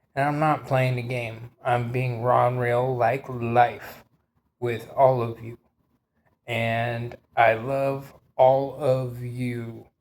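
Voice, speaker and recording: A man of medium pitch talks at a very slow pace. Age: 40s. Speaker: vlogger. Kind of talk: monologue. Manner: animated.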